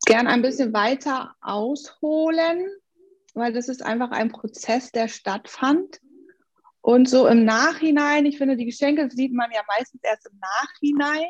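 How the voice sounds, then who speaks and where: Speaking fairly slowly, a woman uses a high pitch and ordinary pitch variation. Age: 40s. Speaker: life coach. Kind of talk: interview. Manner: animated.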